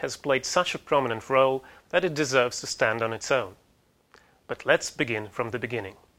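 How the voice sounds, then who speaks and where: With a Russian accent, a man talks at a fairly quick pace in a bright, sharp tone with lively intonation, on a very clean recording with a silent background. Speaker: university lecturer. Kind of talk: lecture.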